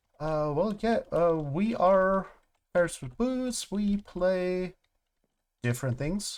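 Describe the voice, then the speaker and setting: Someone speaks at a very slow pace with a German accent. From Germany. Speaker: gaming streamer. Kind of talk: casual live-stream commentary. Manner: halting, filler-heavy.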